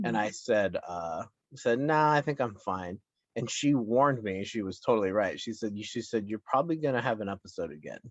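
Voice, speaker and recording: A man at a medium pitch talks at a fairly quick pace, his intonation lively. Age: 30s. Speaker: podcast host and mental health advocate. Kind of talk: interview answer. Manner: casual, open.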